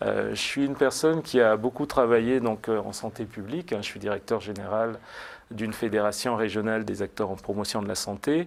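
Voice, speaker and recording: This man speaks at a fairly quick pace, his pitch fairly low and his intonation ordinary in its variation. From France, Blois. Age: 40s. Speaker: political candidate. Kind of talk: TV interview. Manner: hesitant, many fillers.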